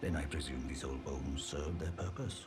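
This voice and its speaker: A man's put-on character voice at a fairly quick pace over loud music in the background. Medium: video game.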